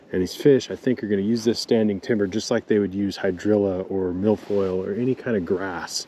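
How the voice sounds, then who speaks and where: A quiet man talking at a very fast pace with fairly even intonation, amid noticeable background noise. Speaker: pro bass fisherman and fishing vlogger. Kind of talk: casual on-the-water vlog explanation. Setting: outdoors on a boat on a lake. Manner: quiet, hushed.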